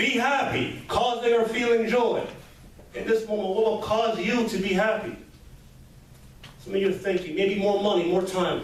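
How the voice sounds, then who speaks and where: Noticeable background noise and audible room echo surround this recording. A man talks at a moderate pace with a high pitch and ordinary pitch variation. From Montreal, Quebec, Canada. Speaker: motivational speaker. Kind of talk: motivational speech.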